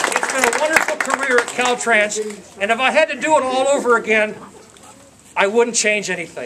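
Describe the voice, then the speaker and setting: Over crowd noise, a raised, projected voice moves at a fairly quick pace with ordinary pitch variation and long, frequent pauses. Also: man, extremely high pitch for a man. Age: 60s. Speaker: retiree giving a speech at his own party. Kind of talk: farewell speech to friends. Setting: party with live audience. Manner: halting, repeats words.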